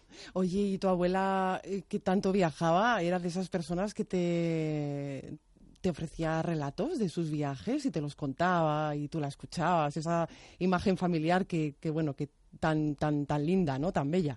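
A woman's plain, everyday voice, fairly low in pitch with ordinary pitch variation, at a fairly slow pace against a quiet background. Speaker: radio host. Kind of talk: radio interview. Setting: radio studio.

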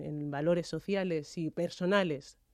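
A woman talks in a very clean recording with a silent background. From Madrid, Spain. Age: 30s. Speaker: athlete. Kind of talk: radio interview. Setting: radio studio. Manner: halting, frequent repetitions.

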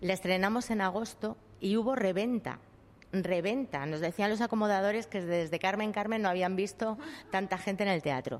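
A woman's plain, everyday voice, medium in pitch, at a moderate pace with ordinary pitch variation and very even loudness, on a very clean recording with a silent background. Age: 50s. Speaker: actress. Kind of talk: interview.

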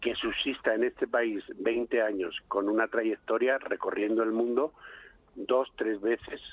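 A man is speaking. His pace is very slow. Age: 60s. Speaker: flamenco company director. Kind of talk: radio interview.

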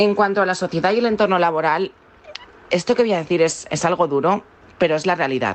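A woman talks very fast in a fairly low pitch, with ordinary pitch variation. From Valencia, Spain. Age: 20s. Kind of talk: interview testimony. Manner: halting.

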